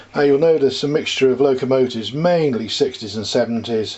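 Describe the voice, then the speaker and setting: At a fairly quick pace, a man with an English accent talks with ordinary pitch variation. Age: 60s. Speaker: model railway hobbyist. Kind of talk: casual show-and-tell walkthrough. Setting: home landing room. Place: home room. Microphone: phone near.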